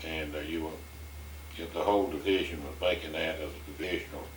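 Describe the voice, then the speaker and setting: A man speaks at a moderate pace with a very deep, low pitch and monotone, flat intonation, his loudness swinging widely. Noticeable background noise sits behind him. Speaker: oral history interviewer.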